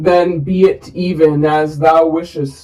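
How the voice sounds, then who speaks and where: A put-on character voice at a middle pitch, monotone and flat, at a fairly slow pace. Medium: read story. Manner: solemn, unhurried.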